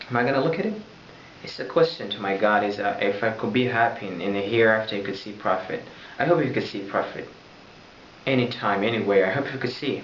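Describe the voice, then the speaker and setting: A man speaks very fast with an Arabic accent, leaving long, frequent pauses. The recording has audible room echo and noticeable background noise. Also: medium pitch for a man, ordinary pitch variation. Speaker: religious vlogger. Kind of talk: religious talk to camera. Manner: loud; halting.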